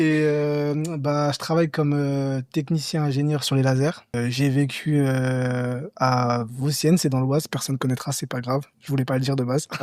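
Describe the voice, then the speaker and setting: A man speaks at a moderate pace with a fairly high pitch. His intonation is monotone and flat. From Paris region, France. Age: 30s. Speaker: laser technician, humanitarian trip participant. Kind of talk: casual podcast conversation.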